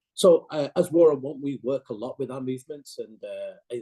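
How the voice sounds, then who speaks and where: In a dry, close recording with no echo, a man speaks with a dark, mellow tone and fairly even intonation. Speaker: NGO campaigner. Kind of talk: seminar presentation. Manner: fast.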